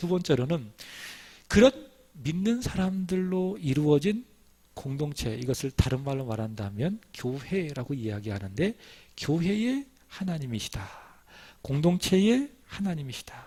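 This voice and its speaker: A man talks at a fairly slow pace with long, frequent pauses. His fairly high-pitched voice has a dark, mellow, somewhat breathy tone and very wide pitch swings. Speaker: pastor. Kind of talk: sermon.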